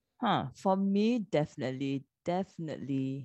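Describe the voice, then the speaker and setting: A woman with a dark, mellow tone speaks at a very slow pace with lively intonation, the sound dry and close with no echo. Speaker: podcast co-host. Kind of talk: casual chat.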